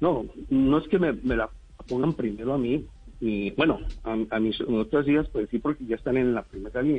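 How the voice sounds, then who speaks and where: At a moderate pace and medium pitch, a man speaks with ordinary pitch variation while music plays in the background. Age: 60s. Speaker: neuropsychologist. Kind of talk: radio interview. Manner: halting, many fillers and repetitions.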